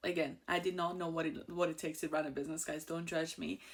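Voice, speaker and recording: A woman speaks with an Iranian accent. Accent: Iranian (Persian). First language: Persian. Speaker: insurance agent and show host. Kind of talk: personal story monologue. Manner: casual, with fillers.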